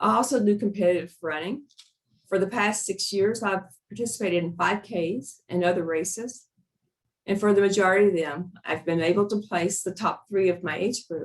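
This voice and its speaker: Using a plain, everyday voice, a woman speaks at a moderate pace and medium pitch with ordinary pitch variation. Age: 60s. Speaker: physician. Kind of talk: webinar presentation. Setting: online webinar.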